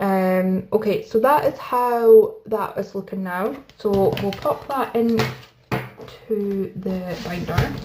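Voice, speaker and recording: A woman talks with a Scottish accent at a very slow pace. Noticeable background noise runs behind her. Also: medium pitch for a woman, ordinary pitch variation. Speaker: budgeting YouTuber. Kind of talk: casual chat. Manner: soft-spoken.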